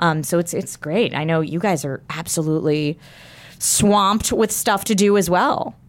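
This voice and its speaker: A woman speaks at a moderate pace in an unremarkable speaking voice. Her pitch is fairly low, with ordinary variation. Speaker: guest, digital media creator. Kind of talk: casual chat.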